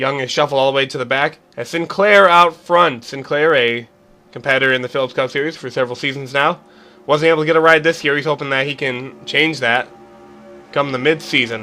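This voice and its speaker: A man's fairly high voice with a bright, sharp tone at a fairly quick pace. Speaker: race commentator for simulated racing series. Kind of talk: motorsport play-by-play commentary.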